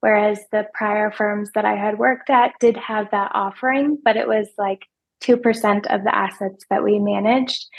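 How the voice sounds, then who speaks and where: The speaker is soft-spoken, with monotone, flat intonation. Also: woman. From small rural town. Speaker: financial advisor. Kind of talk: podcast interview.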